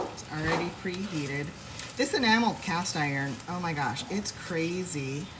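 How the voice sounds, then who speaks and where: With an American accent, a woman talks at a moderate pace and fairly low pitch, her intonation lively. Audible room echo and noticeable background noise come through. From Washington State. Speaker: home cooking livestreamer. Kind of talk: casual live cooking stream. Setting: home kitchen, live stream. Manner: chatty, relaxed.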